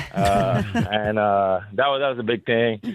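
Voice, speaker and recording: This man has a Spanish accent. He speaks at a moderate pace with fairly even intonation. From Dominican Republic and Belgium. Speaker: professional basketball player. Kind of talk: radio interview.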